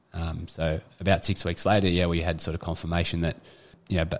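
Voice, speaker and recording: A man in an Australian accent talks fairly quickly in a very deep, low voice with monotone, flat intonation. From Australia, eastern suburbs of Sydney. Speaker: former rugby league player. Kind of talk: casual interview chat.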